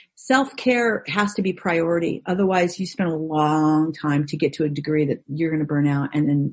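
A woman's very deep, low, somewhat breathy voice with an American accent, at a moderate pace with ordinary pitch variation. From Orange County, California. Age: 50s. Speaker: actress. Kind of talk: casual chat. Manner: animated.

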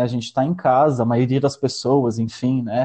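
The man's voice comes across as somewhat breathy. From Palotina, western Paraná, Brazil. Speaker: storyteller and artist. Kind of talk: casual interview chat. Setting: video call.

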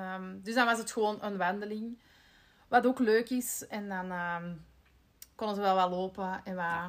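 In a plain, everyday voice, a woman speaks at a moderate pace and a medium pitch, with fairly even intonation and big swings in loudness. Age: 30s. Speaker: podcast host, marketing employee. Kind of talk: casual chat.

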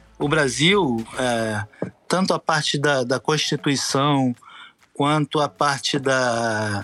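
Ordinary pitch movement runs through a tone that is bright and sharp. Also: man. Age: 50s. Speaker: former wheelchair rugby athlete and educator. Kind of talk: podcast interview.

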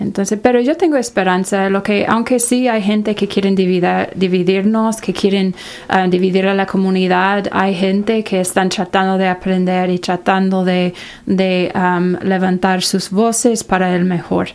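This woman has an English accent and a medium pitch. She speaks at a fairly slow pace, her intonation fairly even and her loudness very even. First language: English (speaking Spanish). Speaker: college outreach director. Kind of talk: interview. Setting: studio.

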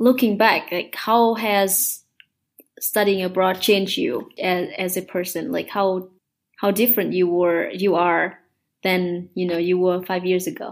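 Over a silent background in a very clean recording, a woman speaks very slowly with a Vietnamese accent, at a medium pitch with ordinary pitch variation. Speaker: podcast host. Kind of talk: interview.

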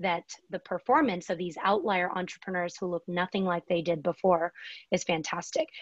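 An unremarkable speaking voice is heard over a quiet background. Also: woman, dry, close sound with no echo. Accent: American. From US (teenage years). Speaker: venture capitalist. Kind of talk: interview.

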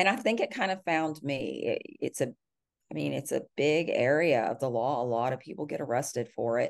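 A woman speaks with a Texan accent. Her pace is fairly quick. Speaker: criminal defense lawyer. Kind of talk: interview.

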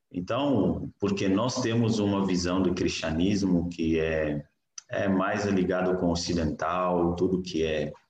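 A man's very deep, low pitch at a very slow pace, with ordinary pitch variation and very even loudness. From Niger. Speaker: missionary and graduate student. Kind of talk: interview, personal testimony.

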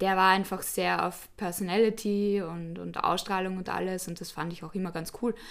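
At a moderate pace and with hardly any pauses, a woman of medium pitch speaks in a monotone, flat intonation with big swings in loudness. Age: 20s. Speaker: student and former model. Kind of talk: interview.

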